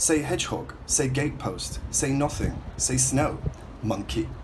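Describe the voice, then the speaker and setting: This is a man with a Hull accent. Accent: Northern English, Hull. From Northern England. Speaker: writer, poet. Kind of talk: spoken word poetry reading.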